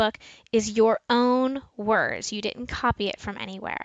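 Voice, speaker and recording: In a northeastern US accent, a woman talks at a fairly high pitch. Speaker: school librarian. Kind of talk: tutorial.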